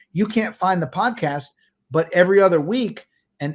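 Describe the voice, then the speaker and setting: In a very clean recording with a silent background, a man speaks at a high pitch and a moderate pace with lively intonation. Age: 60s. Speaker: entrepreneur, podcast company founder. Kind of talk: interview conversation.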